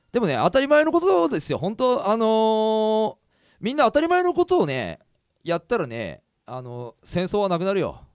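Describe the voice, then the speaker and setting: Loud and animated, a high-pitched man at a moderate pace with very wide pitch swings and a dry, close sound with no echo. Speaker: podcast host and singer. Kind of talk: casual chat.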